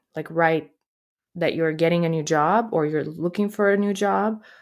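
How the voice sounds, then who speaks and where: A woman speaks at a moderate pace in a fairly low pitch, with ordinary pitch variation, on a very clean recording with a silent background. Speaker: comedian and podcaster. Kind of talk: casual interview chat. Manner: animated, motivational.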